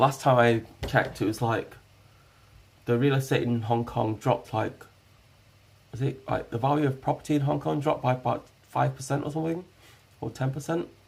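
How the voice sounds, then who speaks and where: Speaking with a British accent, a man uses a medium pitch and ordinary pitch variation at a fairly quick pace. His voice is somewhat breathy, broken by long, frequent pauses. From UK. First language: Hakka. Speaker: IRL streamer. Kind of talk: casual live stream chat. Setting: live stream at home. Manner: hesitant, many fillers.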